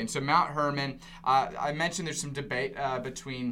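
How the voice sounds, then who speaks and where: With audible room echo around him, a man speaks very fast at a medium pitch. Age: 20s. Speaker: preacher. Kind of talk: casual chat.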